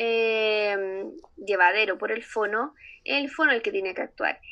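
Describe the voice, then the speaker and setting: Over a quiet background, a woman with a Chilean accent speaks in a bright, sharp tone with ordinary pitch variation. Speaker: speech therapist, association director. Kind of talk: casual interview chat. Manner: hesitant, many fillers.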